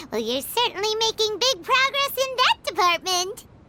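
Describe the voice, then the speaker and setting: The voice is a put-on character, squeaky and pitched extremely high. Its speed is moderate. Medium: video game. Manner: casual, blunt.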